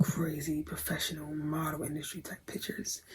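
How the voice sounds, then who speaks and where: A dark, mellow tone comes through with a somewhat breathy quality. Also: woman. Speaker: vlogger, aspiring model. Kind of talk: casual vlog storytelling.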